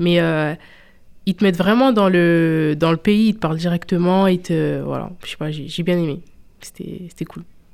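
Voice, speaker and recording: A woman's plain, everyday voice, fairly low in pitch, at a fairly slow pace with fairly even intonation, in a very clean recording with a silent background. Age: 20s. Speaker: student. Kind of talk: radio interview.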